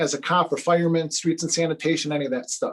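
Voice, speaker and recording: A man's high-pitched voice in an American accent at a very fast pace. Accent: Chicago accent, stronger when angry. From Chicago, south side. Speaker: day trader and trading educator. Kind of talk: live stream talk. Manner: animated.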